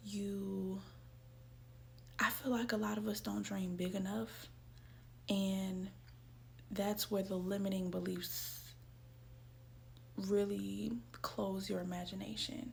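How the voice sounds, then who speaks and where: Very slow speech broken by long, frequent pauses, with audible room echo. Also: woman. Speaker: self-help video creator. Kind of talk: casual motivational talk. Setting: at home, in her room. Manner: soft-spoken.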